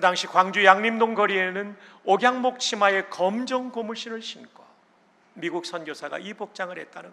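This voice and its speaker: A man with a high pitch raises and projects his voice at a moderate pace, showing ordinary pitch variation and big swings in loudness. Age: 60s. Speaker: pastor and seminary president. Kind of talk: sermon. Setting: church.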